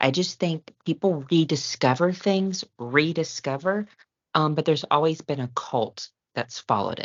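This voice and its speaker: A woman's very deep, low voice with an American accent, lively intonation and a fairly slow pace. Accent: Southern US, comes out at times. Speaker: podcast host. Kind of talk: casual chat.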